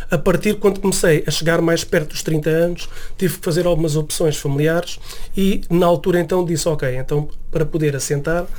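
At a fairly quick pace, the speech holds fairly even intonation. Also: man, high pitch for a man. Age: 40s. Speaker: music producer and musician. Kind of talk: radio interview. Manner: halting, many fillers and repetitions.

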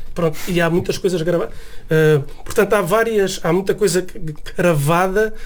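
Noticeable background noise runs through the clip. The intonation is fairly even and the loudness very even. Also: man, high pitch for a man, moderate pace. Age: 40s. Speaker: music producer and musician. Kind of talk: radio interview. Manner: halting, many fillers and repetitions.

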